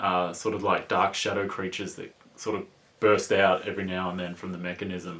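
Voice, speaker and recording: A man's fairly low voice in a strong Australian accent, monotone and flat, at a moderate pace. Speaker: book reviewer. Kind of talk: book review. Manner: halting, many fillers; casual.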